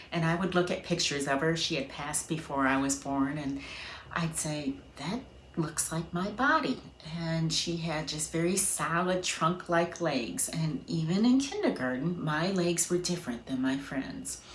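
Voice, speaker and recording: A woman's fairly low voice at a moderate pace, with ordinary pitch variation and audible room echo. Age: 50s. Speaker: patient sharing her story. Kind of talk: testimony.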